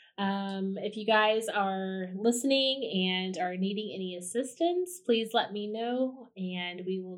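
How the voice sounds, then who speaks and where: A woman's normal speaking voice with ordinary pitch variation. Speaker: podcast host, psychological health director. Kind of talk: podcast interview.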